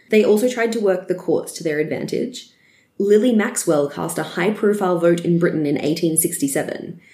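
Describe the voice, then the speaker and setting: A woman with an Australian accent speaks at a moderate pace. Her medium-pitched voice has a dark, mellow tone and ordinary pitch variation. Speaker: history podcast co-host. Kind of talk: scripted history narration.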